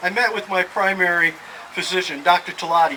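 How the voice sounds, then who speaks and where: A high-pitched man at a moderate pace, with noticeable background noise. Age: 60s. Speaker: person living with Alzheimer's. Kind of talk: prepared speech. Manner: halting.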